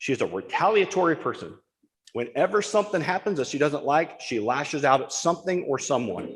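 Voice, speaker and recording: A loud man talks at a fairly quick pace in a high pitch with lively intonation. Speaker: firefighter speaking at public comment. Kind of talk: public comment at township board meeting. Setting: township board meeting room.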